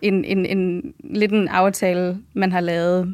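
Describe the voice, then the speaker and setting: On a very clean recording with a silent background, a woman with an unremarkable speaking voice talks at a fairly low pitch with fairly even intonation. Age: 20s. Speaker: medical student. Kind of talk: casual interview.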